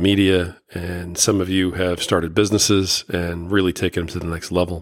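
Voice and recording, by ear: Moderate pace and little pitch movement on a very clean recording with a silent background. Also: man.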